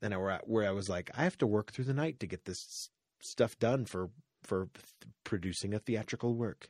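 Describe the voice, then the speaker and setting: A man talks at a moderate pace with fairly low pitch and ordinary variation in it. The sound is dry and close, with no echo. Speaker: podcast host. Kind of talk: casual comedic chat. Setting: studio. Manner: animated, joking.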